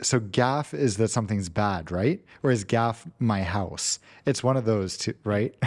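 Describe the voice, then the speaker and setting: A man with a fairly low pitch talks at a fairly slow pace, with ordinary pitch variation and very even loudness. It is a normal speaking voice on a very clean recording with a silent background. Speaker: aviation podcast host. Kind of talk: casual chat.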